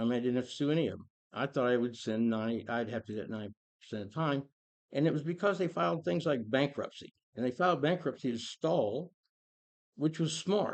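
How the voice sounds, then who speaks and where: The speaker has an American accent and lively intonation at a fairly quick pace. The background is quiet. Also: man. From Kansas City, US Midwest. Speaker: foreclosure fraud consultant. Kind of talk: casual monologue. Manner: halting, with frequent restarts.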